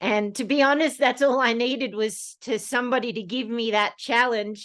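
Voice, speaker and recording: Against a quiet background, a woman with an Australian accent talks in a fairly high pitch with fairly even intonation. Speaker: snowkiting guide and presenter. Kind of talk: presentation talk. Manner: hesitant with fillers.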